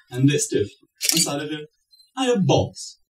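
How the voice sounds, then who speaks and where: The speaker keeps a moderate pace over light background noise. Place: stage. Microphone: camera far.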